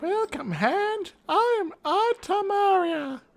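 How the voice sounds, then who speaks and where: An extremely high-pitched put-on character voice at a very slow pace. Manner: put-on acted voice that the speaker finds poor.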